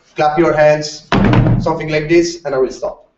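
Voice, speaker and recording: Here a man speaks at a fairly high pitch. He talks with a non-native accent. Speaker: larp community presenter. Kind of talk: conference presentation. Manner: halting, many fillers.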